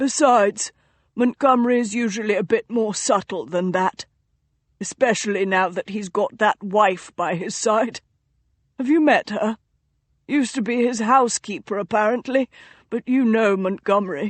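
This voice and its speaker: Putting on a character voice, a woman speaks at a moderate pace, fairly high in pitch and raspy. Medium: read story. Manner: dry, amused.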